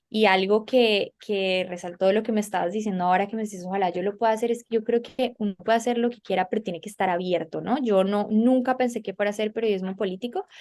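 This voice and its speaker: A woman talking at a very fast pace with hardly any pauses and fairly even intonation. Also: medium pitch for a woman. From Colombia. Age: young. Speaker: political journalist. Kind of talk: interview.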